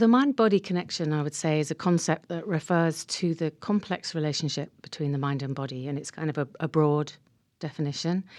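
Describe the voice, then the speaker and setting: A woman speaks at a moderate pace with a very deep, low pitch. The background is quiet. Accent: English. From England. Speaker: counselor and mindfulness teacher. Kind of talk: radio interview.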